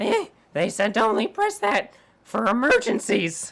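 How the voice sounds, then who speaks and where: A female-sounding voice in a put-on character voice speaks at a fairly high pitch at a moderate pace. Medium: actual play.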